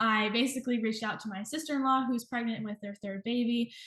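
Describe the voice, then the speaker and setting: With an American accent, a woman talks at a fairly quick pace, somewhat breathy, her intonation fairly even. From US South, Georgia. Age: 20s. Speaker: nutrition professional in private practice. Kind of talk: interview.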